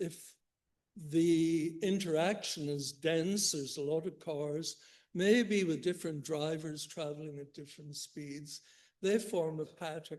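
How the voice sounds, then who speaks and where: With a Northern Irish accent, a man speaks at a fairly slow pace and a fairly high pitch, with fairly even intonation and big swings in loudness against a quiet background. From Northern Ireland, Belfast. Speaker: economics professor. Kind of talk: keynote lecture. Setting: conference stage with audience.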